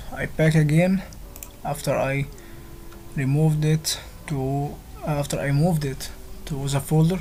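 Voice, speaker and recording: The speaker has a non-native accent and a fairly slow pace, with long, frequent pauses. Noticeable background noise runs under the voice. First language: not English. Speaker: tech tutorial youtuber. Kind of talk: tutorial. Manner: halting.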